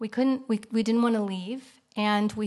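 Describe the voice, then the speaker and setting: Against a quiet background, a woman speaks with an American accent. Her intonation is monotone and flat. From US Midwest, Kansas City. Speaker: artist. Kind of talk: lecture. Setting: stage with audience. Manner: fast.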